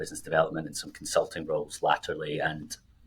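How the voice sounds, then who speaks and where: A man speaks in a Scottish accent. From Scotland. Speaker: financial planner, podcast co-host. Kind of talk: casual podcast chat.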